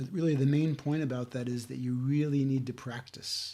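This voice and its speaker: A man's somewhat breathy, dark, mellow voice at a medium pitch and a moderate pace. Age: 60s. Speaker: self-help video host. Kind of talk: talking-head talk. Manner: halting.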